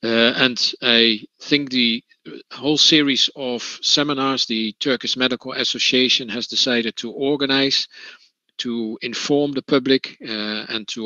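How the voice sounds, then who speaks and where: A man speaks at a medium pitch in a Dutch accent, with fairly even intonation and a fairly slow pace. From Netherlands. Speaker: trade union representative. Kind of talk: conference talk. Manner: halting, many fillers.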